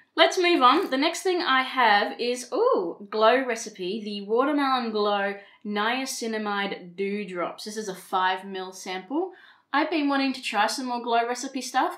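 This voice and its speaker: In an Australian accent, a woman speaks at a fairly slow pace with a high pitch. Her intonation is lively, and her loudness swings widely. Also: quiet background. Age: 30s. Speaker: beauty vlogger. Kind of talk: casual talk to camera. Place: home room.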